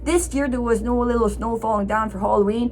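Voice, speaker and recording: With noticeable background noise, a woman with a fairly high pitch speaks at a fairly quick pace and ordinary pitch variation. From Ottawa, Canada (Franco-Ontarian). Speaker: vlogger. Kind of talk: casual vlog talk. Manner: repetitive, halting.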